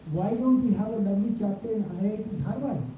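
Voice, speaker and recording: A man with a high pitch talks at a fairly quick pace with ordinary pitch variation, amid noticeable background noise and audible room echo. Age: 70s. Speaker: professor. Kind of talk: lecture. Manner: animated.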